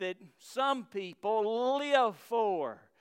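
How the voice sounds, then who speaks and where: On a very clean recording with a silent background, a man with a Southern US accent speaks at a very slow pace with lively intonation. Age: 50s. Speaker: pastor. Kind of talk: sermon. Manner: halting.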